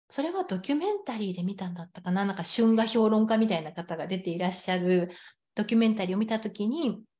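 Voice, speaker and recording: A woman's very fast, somewhat breathy speech in a dark, mellow tone, medium pitch and ordinary pitch variation. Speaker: sex coach. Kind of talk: casual chat.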